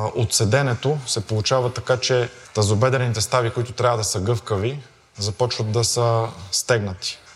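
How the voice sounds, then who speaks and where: Noticeable background noise sits behind a man speaking at a moderate pace. His medium-pitched voice keeps a fairly even intonation. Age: 30s. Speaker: fitness coach. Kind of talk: interview and fitness testing. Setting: gym.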